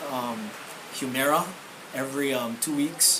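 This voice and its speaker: Over noticeable background noise, a man speaks in a fairly high voice. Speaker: law enforcement officer sharing health testimony. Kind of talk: testimony. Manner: asked to speak up.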